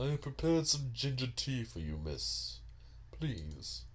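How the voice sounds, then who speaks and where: Very deep and low in pitch, this man puts on a character voice. His delivery moves at a fairly slow pace. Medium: fan dub. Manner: formal, deferential.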